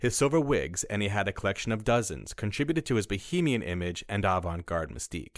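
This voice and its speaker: With a fairly low pitch and very wide pitch swings, a man talks at a fairly quick pace on a very clean recording with a silent background. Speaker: voice artist. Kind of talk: documentary narration.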